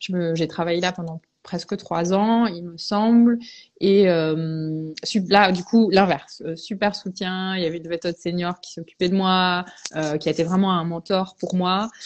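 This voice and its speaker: Her voice is at a medium pitch, and this woman speaks at a fairly slow pace with fairly even intonation. Her loudness swings widely. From Belgium, English parents. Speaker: veterinarian. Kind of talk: interview, personal testimony. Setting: Instagram live video stream.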